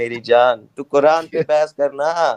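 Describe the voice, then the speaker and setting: The recording is dry and close, with no echo. A man does the talking. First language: not Hindi (speaking Hindi). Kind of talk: heated debate. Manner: animated.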